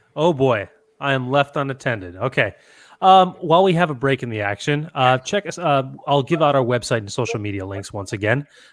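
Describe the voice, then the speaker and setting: A man with a Chicago accent talks at a fairly quick pace and a medium pitch. His intonation is lively. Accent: Chicago-area American. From Chicago area, Naperville. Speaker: podcast host. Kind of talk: casual chat.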